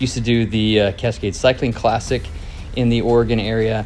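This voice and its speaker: A man's medium-pitched voice moves at a moderate pace, with noticeable background noise present. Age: 50s. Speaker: cycling vlogger. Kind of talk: video narration.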